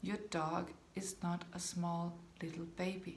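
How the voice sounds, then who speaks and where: Speaking very slowly with vocal fry, a woman talks in a Danish accent. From Denmark. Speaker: dog behaviour consultant. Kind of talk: talking-head video to camera.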